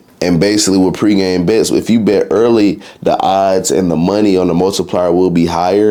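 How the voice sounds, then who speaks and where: Over noticeable background noise, a man talks in an animated tone at a very deep, low pitch. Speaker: sports betting YouTuber. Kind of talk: casual explainer video. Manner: fast; casual, animated.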